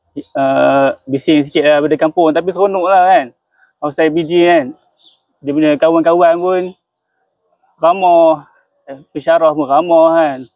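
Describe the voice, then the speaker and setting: A man speaks with a Perak accent. His speech has long, frequent pauses. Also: fairly high pitch for a man, fairly slow pace. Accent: Perak Malay dialect. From Malaysia, Perak (Kuala Kangsar). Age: young. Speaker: student. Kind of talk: interview.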